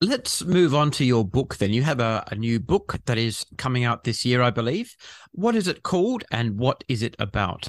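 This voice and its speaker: Dry, close sound with no echo, lively intonation, a moderate pace, and a very clean recording over a silent background. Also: man, medium pitch for a man. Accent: Australian. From Western Australia. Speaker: podcast host and vaccine advocate. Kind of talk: interview.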